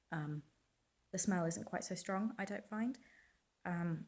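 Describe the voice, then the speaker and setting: A somewhat breathy woman's voice on a very clean recording with a silent background. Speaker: dog groomer. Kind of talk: casual talk to camera.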